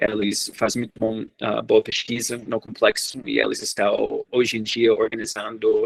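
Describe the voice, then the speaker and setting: In a dry, close sound with no echo, a man with an English accent talks at a fairly slow pace with hardly any pauses. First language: English (speaking Portuguese). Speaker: researcher. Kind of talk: lecture. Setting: seminar. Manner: halting.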